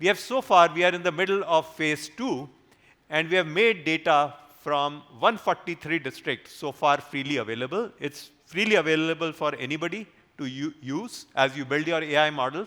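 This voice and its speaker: This man's voice sits fairly high in pitch, with a bright, sharp tone. He talks at a moderate pace with ordinary pitch variation. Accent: Indian. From northern India, Haryana, raised in Delhi. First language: Hindi. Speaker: AI research leader. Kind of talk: conference talk. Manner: halting, with fillers.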